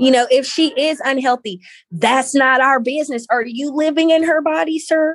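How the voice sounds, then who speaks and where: A woman speaks in a Southern US accent at a high pitch. Her pace is moderate. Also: ordinary pitch variation. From Valdosta, Georgia, US South. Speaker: founder of body positivity movement. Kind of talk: casual interview chat.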